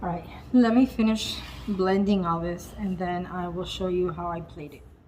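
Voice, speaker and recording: A woman's medium-pitched voice at a moderate pace, fairly even in intonation but with big swings in loudness, amid noticeable background noise and audible room echo. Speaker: lifestyle vlogger. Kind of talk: cooking vlog.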